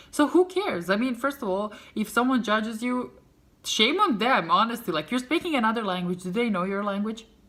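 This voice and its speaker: A woman with a Serbian accent speaks at a moderate pace and a fairly high pitch. Her tone is animated, with very wide pitch swings. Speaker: vlogger. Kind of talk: casual storytelling vlog.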